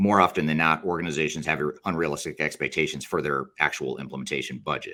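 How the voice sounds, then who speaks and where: Speaking very fast, a man with a very deep, low voice shows vocal fry and a bright, sharp tone, keeping his intonation fairly even. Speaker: business consultant. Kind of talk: webinar presentation.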